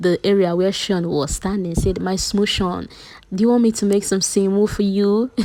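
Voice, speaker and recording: In a Nigerian accent, a woman speaks at a moderate pace and a medium pitch with an animated tone. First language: Nigerian language (English is borrowed). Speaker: YouTube entertainment commentator. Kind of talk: casual vlog recap. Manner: casual, animated.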